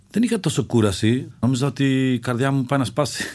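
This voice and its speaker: A man speaks with an ordinary speaking voice. His pitch is medium and his pace moderate. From Czech Republic, Greek father and Czech mother. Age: 50s. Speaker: mountaineer. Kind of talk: interview, personal story.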